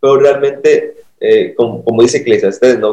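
Here a man talks at a moderate pace. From Mexico, Acapulco. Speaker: pastor. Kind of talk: casual chat.

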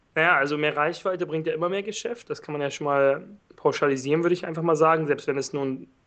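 A man talks in an ordinary speaking voice at a fairly high pitch. His intonation stays fairly even. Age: 20s. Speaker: online entrepreneur. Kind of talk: interview.

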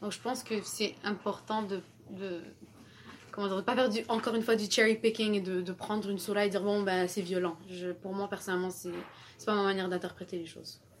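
Talking at a fairly quick pace, a woman with a medium pitch keeps a monotone, flat intonation. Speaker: university student. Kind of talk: casual discussion.

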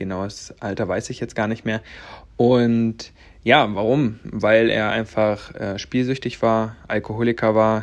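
This man speaks at a medium pitch and a moderate pace. His intonation is monotone and flat. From Latvia, then Stendal, Saxony-Anhalt. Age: 20s. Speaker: podcast host, network marketer. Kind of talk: personal storytelling monologue. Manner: casual, many filler sounds.

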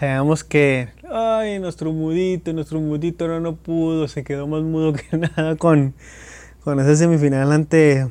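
In a very clean recording with a silent background, a man with a dark, mellow tone and fairly high pitch speaks fairly slowly, with fairly even intonation. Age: 20s. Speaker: football podcast host. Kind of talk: casual football commentary monologue. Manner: halting, repeats words.

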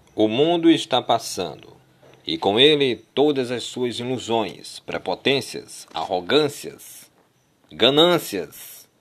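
A man's medium-pitched voice with lively intonation, delivered at a very slow pace. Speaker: preacher. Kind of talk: sermon. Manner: animated; emphatic, urgent.

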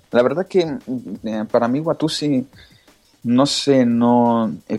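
The speech comes at a very slow pace with ordinary pitch variation. Music plays in the background. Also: man. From Italy. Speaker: jailbreak blogger. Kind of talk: casual interview.

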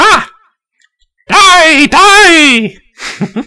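The speaker puts on a character voice pitched extremely high. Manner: cackling, shrill, frenzied.

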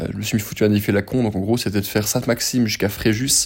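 Fairly low in pitch, a man talks at a fairly quick pace with a dark, mellow tone and fairly even intonation. The recording is very clean with a silent background. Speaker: podcaster. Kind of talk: casual monologue. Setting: in bed.

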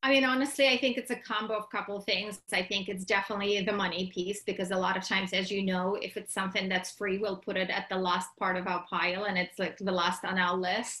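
A woman with a Russian accent talks at a very fast pace in a medium pitch, with hardly any pauses. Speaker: entrepreneur and business summit organizer. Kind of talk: casual interview chat. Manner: animated.

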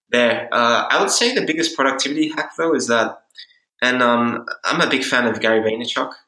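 A man's bright, sharp voice at medium pitch, with an Australian accent, ordinary pitch variation, a moderate pace and very even loudness. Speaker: startup founder. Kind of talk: interview.

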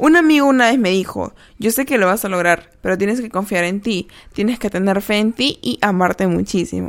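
A woman with an unremarkable speaking voice at medium pitch, on a very clean recording with a silent background. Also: lively intonation, fairly quick pace. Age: 20s. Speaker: podcast host. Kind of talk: reflective monologue; reading aloud.

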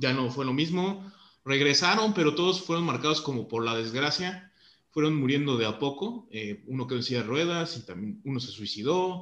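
A man speaks with a Mexican accent and a fairly high pitch. His intonation is lively. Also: moderate pace. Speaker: podcast host. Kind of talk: casual chat.

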